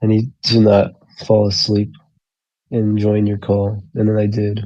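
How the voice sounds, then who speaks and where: At a fairly slow pace, a man speaks in a dark, mellow tone with a fairly low pitch and monotone, flat intonation. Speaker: call-in guest. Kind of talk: casual chat. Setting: voice call. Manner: low-energy, sleepy.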